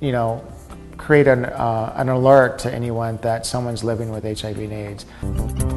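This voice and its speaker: A man speaking at a fairly slow pace over faint background music. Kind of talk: interview answer. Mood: calm, explanatory.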